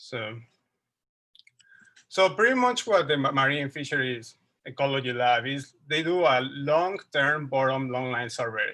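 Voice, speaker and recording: In a Mexican accent, the speaker talks at a fairly slow pace with long, frequent pauses and a bright, sharp tone. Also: man, fairly high pitch for a man, ordinary pitch variation. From Mexico City. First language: Spanish. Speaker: wildlife researcher. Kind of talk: lecture. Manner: halting.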